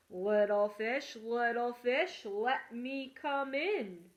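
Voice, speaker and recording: Using a put-on character voice, a woman talks at a very slow pace with a high pitch. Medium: read story. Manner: menacing, blustering.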